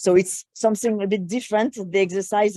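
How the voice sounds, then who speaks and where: A woman speaks in a French accent with a dark, mellow tone. Her moderate pace comes through a dry, close sound with no echo. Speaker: program coordinator. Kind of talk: online meeting discussion. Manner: halting.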